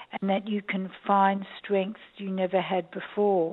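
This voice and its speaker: A woman's very slow, medium-pitched voice in an Australian accent, monotone and flat in intonation. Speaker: documentary director and psychologist. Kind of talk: interview. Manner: hesitant, many ums.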